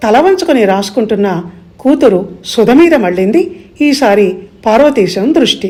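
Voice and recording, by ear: Lively intonation carries the text as someone reads it aloud naturally.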